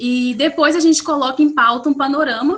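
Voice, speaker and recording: This woman's voice sits at a high pitch. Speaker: graduate student presenting research. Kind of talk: academic research presentation. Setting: video call.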